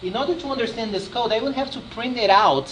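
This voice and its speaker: Over noticeable background noise, a man with a Brazilian Portuguese accent speaks with lively intonation. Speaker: software developer presenter. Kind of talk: technical presentation. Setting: user group meeting with audience. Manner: animated; repeats words often.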